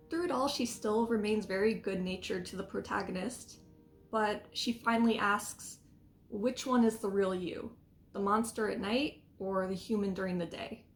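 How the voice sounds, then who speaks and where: Music plays in the background as the speaker goes at a moderate pace with ordinary pitch variation. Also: woman, medium pitch for a woman. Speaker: tea and book vlogger. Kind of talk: casual vlog talk.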